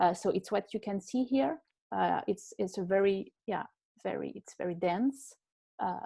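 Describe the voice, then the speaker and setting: Speaking at a fairly slow pace, this woman has a medium pitch and a dark, mellow tone. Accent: French. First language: French. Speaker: fashion historian. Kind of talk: online panel interview. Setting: video call. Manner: hesitant, many fillers.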